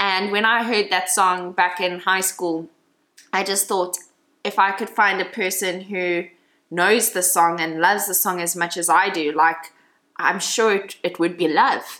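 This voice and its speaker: At a fairly slow pace, a woman speaks with fairly even intonation. She has an unremarkable speaking voice at a medium pitch. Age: 20s. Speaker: podcast host. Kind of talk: casual chat.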